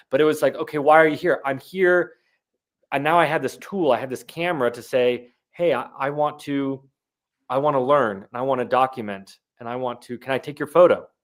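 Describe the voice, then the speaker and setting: A man's ordinary speaking voice, fairly high in pitch, at a fairly quick pace, with ordinary pitch variation, big swings in loudness, and a very clean recording with a silent background. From US South, Jacksonville, northeast Florida. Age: 30s. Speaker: documentary photographer. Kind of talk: interview.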